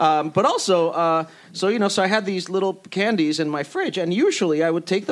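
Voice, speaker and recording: Fairly quick and fairly even in intonation, a man talks with a high pitch. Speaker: TV writer. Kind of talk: panel discussion.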